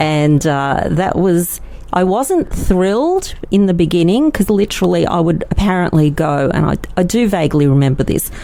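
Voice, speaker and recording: With an Australian accent, a woman with a fairly low pitch talks at a moderate pace, her intonation lively and her loudness very even. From Australia, Melbourne. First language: Yiddish. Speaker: lawyer. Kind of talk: interview. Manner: hesitant, many fillers.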